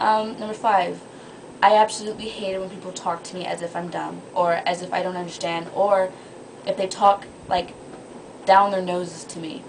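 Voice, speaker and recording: A woman at medium pitch, with big swings in loudness, long, frequent pauses and noticeable background noise. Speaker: vlogger. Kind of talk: casual vlog monologue. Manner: fast; animated.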